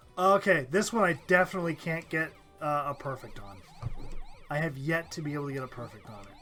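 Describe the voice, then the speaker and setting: The speech runs at a very fast pace with lively intonation. Its loudness swings widely. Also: man, fairly high pitch for a man. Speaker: gaming channel host. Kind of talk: casual let's play chat.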